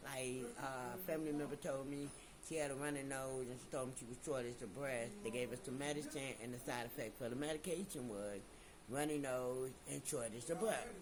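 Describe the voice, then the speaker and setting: With an American accent, a man talks at a fairly quick pace in a medium pitch, over noticeable background noise and audible room echo. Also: ordinary pitch variation. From Chicago. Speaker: YouTuber, channel owner. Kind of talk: casual vlog talk to camera.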